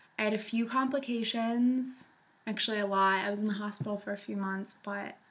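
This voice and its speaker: A woman talks with fairly even intonation. Noticeable background noise can be heard. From New England. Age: 20s. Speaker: vlogger sharing weight loss surgery story. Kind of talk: casual vlog testimony.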